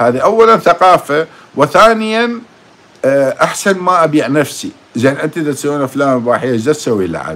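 A man speaks in a fairly high pitch at a moderate pace. His pitch swings very widely. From Iraq. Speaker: YouTube commentator. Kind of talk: monologue, commentary on politics. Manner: animated, emotional. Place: home room.

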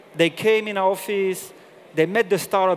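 A man with a French accent, a high pitch and a moderate pace, amid light background noise. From southern France. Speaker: corporate general manager; presenter. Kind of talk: conference talk. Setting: stage with audience. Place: stage. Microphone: headset.

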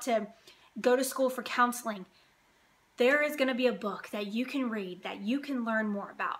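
Pitch varies in an ordinary way while the delivery keeps a moderate pace. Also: woman. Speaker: lifestyle vlogger. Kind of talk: casual vlog chat. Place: home room. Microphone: phone near.

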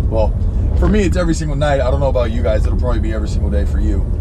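Loud background noise fills the recording. Through it, a man can be heard talking. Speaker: music reaction vlogger. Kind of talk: casual vlog chat. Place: car. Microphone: phone near.

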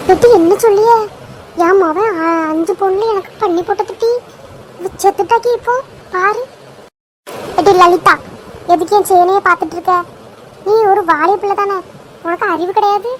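A woman in a cartoonish character voice speaks at a moderate pace with an extremely high pitch and fairly even intonation. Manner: combative, scolding.

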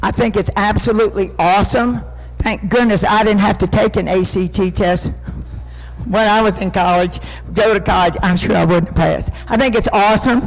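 A man with an American accent, high in pitch, ordinary in pitch variation, at a moderate pace and very even loudness, with audible room echo and music in the background. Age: 70s. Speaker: city council member. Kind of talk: public meeting remarks. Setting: city council meeting.

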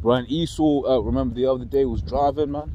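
A man with a London accent speaks fairly quickly in a dark, mellow tone with vocal fry, the sound dry with no echo over light background noise. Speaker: religious group member leading bible study. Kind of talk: casual bible study discussion. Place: open country. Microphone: phone near.

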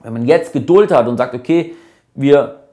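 A man talks at a moderate pace, his pitch showing ordinary variation over a quiet background. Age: 20s. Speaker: company CEO. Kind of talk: casual vlog explainer. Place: cafe.

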